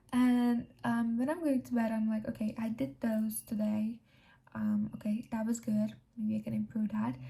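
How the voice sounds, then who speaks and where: At a moderate pace, a woman speaks with a non-native accent. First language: not English. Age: young. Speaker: self-improvement vlogger. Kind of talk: casual talk to camera.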